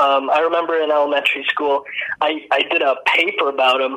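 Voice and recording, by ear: Bright and sharp in tone, a man speaks at a fairly quick pace with a fairly high pitch and fairly even intonation.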